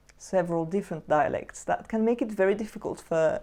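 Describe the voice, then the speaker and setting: A woman with a French accent, dark, mellow tone and fairly even intonation over a quiet background. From Switzerland, Jura region. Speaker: poetry youtuber. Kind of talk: tutorial.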